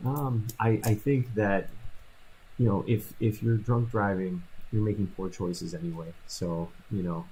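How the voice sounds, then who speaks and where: The man's voice is somewhat breathy, fairly low in pitch, and varies in pitch in an ordinary way. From Lake County, Illinois. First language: Polish. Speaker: criminal defense lawyer. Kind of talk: radio interview.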